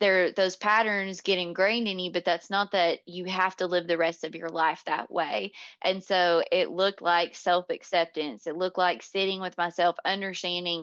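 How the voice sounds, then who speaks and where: A woman with an American accent speaks in a plain, everyday voice at medium pitch and a moderate pace, with hardly any pauses, over a quiet background in a dry, close sound with no echo. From US South, North Georgia. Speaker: leadership coach. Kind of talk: podcast interview.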